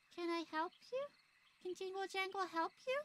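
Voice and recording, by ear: In a put-on character voice, a female-sounding speaker goes at a moderate pace with an extremely high pitch.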